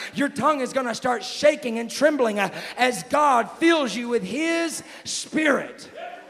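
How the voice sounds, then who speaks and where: A man with an American accent talks at a fairly slow pace in an extremely high pitch. His pitch variation is ordinary, and noticeable background noise is present. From Texas. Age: young. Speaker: evangelist. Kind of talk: climactic altar-call sermon, commanding healing and tongues. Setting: church. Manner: loud, building to a shout.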